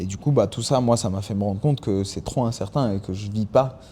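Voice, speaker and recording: A man's fairly low voice with a dark, mellow tone, ordinary pitch variation and a fairly quick pace. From France and Mexico. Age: 20s. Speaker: MMA fighter. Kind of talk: podcast interview. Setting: fighting gym. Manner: hesitant, repeats words.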